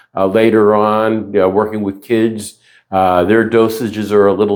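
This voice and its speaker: A man's fairly low voice in an American accent, monotone and flat, at a moderate pace. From US South. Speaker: retired navy corpsman. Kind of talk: interview. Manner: halting.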